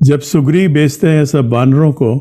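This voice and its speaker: With a dark, mellow tone, a man speaks at fairly high pitch with ordinary pitch variation against a quiet background. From Indonesia (Central Java). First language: not Hindi (speaking Hindi). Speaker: spiritual teacher. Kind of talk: speech in online discussion. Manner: halting, with frequent fillers. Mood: calm storytelling. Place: home room. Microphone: video call.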